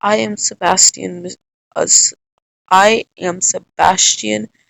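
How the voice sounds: This put-on character voice is resonant and sits at a middle pitch. It moves at a very slow pace.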